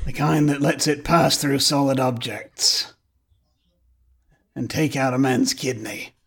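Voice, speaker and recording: A man's put-on character voice, raspy and fairly high in pitch, at a fairly slow pace with long, frequent pauses and fairly even intonation, on a very clean recording with a silent background. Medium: actual play. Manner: dry, laconic.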